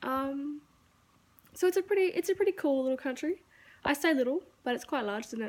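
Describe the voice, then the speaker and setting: A high-pitched woman's voice with lively intonation and long, frequent pauses, in a very clean recording with a silent background. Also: fairly quick pace. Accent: Australian. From Australia. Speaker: YouTuber. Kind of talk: casual vlog monologue. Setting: walking around at home. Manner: casual, filler-heavy.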